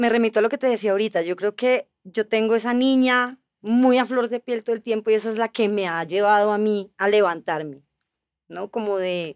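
A normal speaking voice at a moderate pace with ordinary pitch variation, in a dry, close sound with no echo and a quiet background. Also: woman, fairly high pitch for a woman. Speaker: actress. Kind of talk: casual chat.

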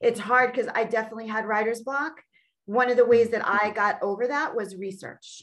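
A woman's plain, everyday voice, fairly high in pitch, at a fairly quick pace with ordinary pitch variation. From Long Island, New York. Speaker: author. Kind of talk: casual interview.

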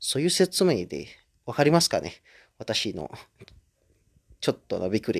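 Speaking at a moderate pace with long, frequent pauses, a man is heard in a dry, close sound with no echo. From Indonesia. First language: Indonesian (speaking Japanese). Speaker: podcaster. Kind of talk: casual solo monologue. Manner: halting, many fillers.

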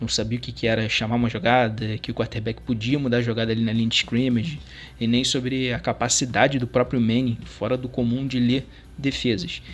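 A man speaks at medium pitch and a fairly quick pace. His intonation is monotone and flat. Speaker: sports fan contributor. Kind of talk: recorded testimony.

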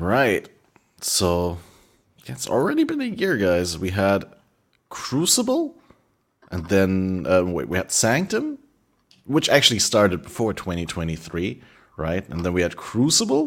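With a German accent, a man speaks at a fairly slow pace and takes long, frequent pauses. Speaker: podcast host. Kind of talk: casual chat.

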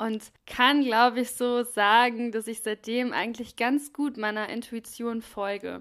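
In a normal speaking voice, a woman with a fairly high pitch talks at a fairly slow pace and with fairly even intonation, on a very clean recording with a silent background. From Germany, Krefeld (Lower Rhine). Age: 30s. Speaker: podcast host, mental health and wellbeing. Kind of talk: personal monologue, life story.

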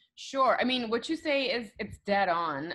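With a Curaçao accent, a woman talks in very wide pitch swings. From Aruba. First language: Papiamento. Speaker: news anchor. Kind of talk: casual chat.

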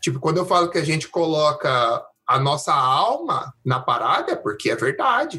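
A man with an interior Brazilian accent talks at a moderate pace with hardly any pauses and very even loudness. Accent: caipira, interior Brazilian Portuguese. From interior of Brazil. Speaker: podcast host. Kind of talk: casual interview chat.

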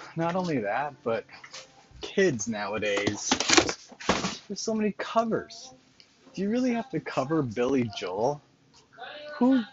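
Speech comes at a fairly slow pace with long, frequent pauses amid noticeable background noise. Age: 40s. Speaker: podcast host. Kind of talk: casual monologue.

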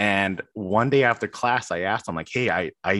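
An ordinary speaking voice with an American accent moves at a moderate pace with ordinary pitch variation, dry and close with no echo on a very clean recording with a silent background. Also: man. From Chicago, US. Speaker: doctoral student. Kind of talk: interview. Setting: call.

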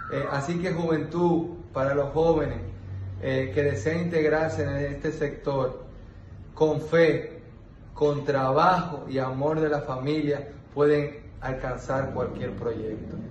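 With audible room echo, a man speaks very slowly at a fairly high pitch and with fairly even intonation. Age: 20s. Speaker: agricultural entrepreneur. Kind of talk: testimonial monologue. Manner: halting, many fillers.

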